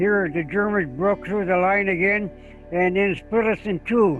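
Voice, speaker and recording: The speech moves at a fairly slow pace while music plays in the background. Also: man. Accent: American. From Michigan, USA. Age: 80s+. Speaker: war veteran. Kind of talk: interview answer.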